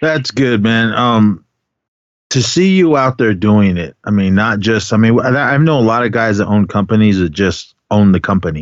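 At a moderate pace, a man with an American accent talks in a fairly low pitch with lively intonation. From Oakland, California. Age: 50s. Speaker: podcast host. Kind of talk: casual chat.

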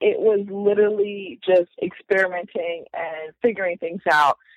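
In a dry, close sound with no echo, a woman with an ordinary speaking voice talks at a moderate pace with a medium pitch and ordinary pitch variation. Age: 30s. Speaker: entrepreneur. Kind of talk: casual chat.

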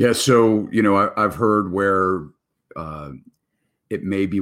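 A man speaks at a moderate pace, his pitch fairly low and varying in an ordinary way. The recording is very clean, with a silent background. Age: 50s. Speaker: real estate broker and show host. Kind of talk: live stream interview show. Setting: live stream.

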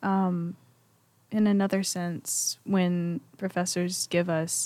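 A woman speaks in a Southern US accent at a fairly low pitch. The recording is very clean, with a silent background. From Mississippi, Pontotoc. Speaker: college student. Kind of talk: casual chat.

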